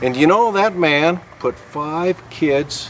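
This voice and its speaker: A man with lively intonation amid noticeable background noise. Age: 60s. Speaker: welding shop owner. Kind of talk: informal sales pitch. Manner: casual, hesitant with fillers.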